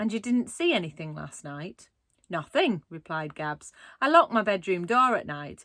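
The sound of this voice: Lively intonation marks an unforced reading voice, heard against a quiet background.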